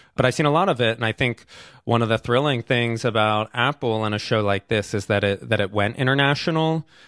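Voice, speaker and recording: A man talks in an unremarkable speaking voice at a medium pitch with ordinary pitch variation. His pace is fairly quick and his loudness very even. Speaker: documentary filmmaker. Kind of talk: interview.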